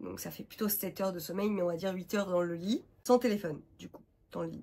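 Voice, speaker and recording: A woman speaks at a very fast pace. Her medium-pitched voice keeps fairly even intonation. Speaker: vlogger and freelance graphic designer. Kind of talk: casual vlog talk to camera. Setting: home, sitting on the floor. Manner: many hesitations (euh).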